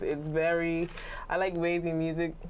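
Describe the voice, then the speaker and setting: This woman speaks with a Bermudian accent. Her voice is fairly low in pitch. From Bermuda. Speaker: singer, rapper and songwriter. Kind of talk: interview. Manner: hesitant, many fillers.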